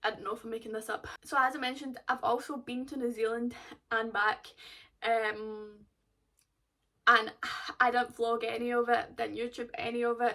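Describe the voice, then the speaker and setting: A woman with a Glaswegian accent speaks at a fairly high pitch in a bright, sharp tone, her intonation fairly even and broken by long, frequent pauses. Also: moderate pace. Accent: Glaswegian Scottish. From Scotland, Glasgow. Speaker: golf vlogger. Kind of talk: casual vlog chat.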